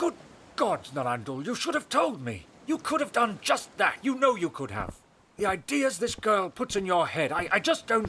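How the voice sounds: A man puts on a character voice, high for a man, with big pitch swings. His tone is bright and sharp with a slightly husky edge, at a moderate pace.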